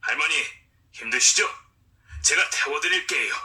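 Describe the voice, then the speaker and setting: A raspy, put-on character voice is used here. It moves at a moderate pace. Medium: audio drama. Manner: jovial, teasing.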